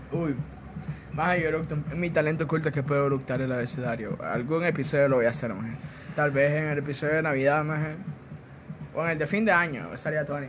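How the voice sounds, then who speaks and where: Speaking very fast in a Honduran accent, a man with a fairly high pitch keeps a fairly even intonation yet leaves long, frequent pauses, amid noticeable background noise and audible room echo. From Honduras. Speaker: podcast co-host. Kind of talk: casual chat.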